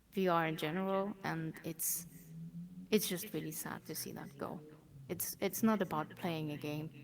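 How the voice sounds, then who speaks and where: Speaking at a moderate pace with vocal fry, a woman keeps fairly even intonation at a fairly low pitch while her loudness swings widely. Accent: German. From Germany. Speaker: VR community organiser. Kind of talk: interview.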